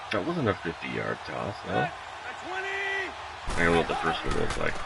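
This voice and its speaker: There is audible room echo and noticeable background noise as a man speaks at a fairly slow pace. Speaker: gaming live streamer. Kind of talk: live gameplay stream commentary. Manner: loud; animated.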